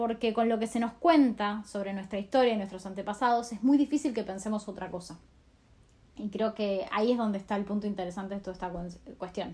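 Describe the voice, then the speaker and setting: A woman talks in an unremarkable speaking voice. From Argentina. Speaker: scholarship alumna. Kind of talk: recorded audio message.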